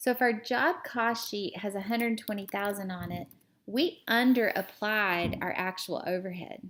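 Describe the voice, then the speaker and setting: In an ordinary speaking voice, a woman talks at a moderate pace with medium pitch and ordinary pitch variation. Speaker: accounting teacher. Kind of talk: tutorial.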